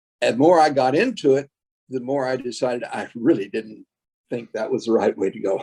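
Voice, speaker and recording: A man's medium-pitched, dark and mellow voice with an American accent, fairly quick pace and ordinary pitch variation. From Texas. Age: 80s+. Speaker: retired school board member. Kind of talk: interview. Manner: halting, many fillers.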